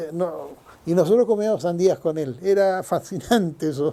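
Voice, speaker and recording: At a moderate pace, a man talks in a dark, mellow tone, his pitch varying in an ordinary way. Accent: Chilean. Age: 70s. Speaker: longtime neighbourhood resident. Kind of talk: oral history interview answer.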